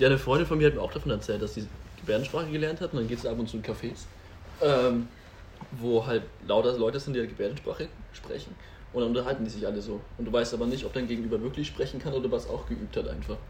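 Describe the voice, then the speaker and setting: A man speaks at a very fast pace. He leaves long, frequent pauses. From Franconia, Germany (Nuremberg). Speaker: nurse. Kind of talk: casual chat.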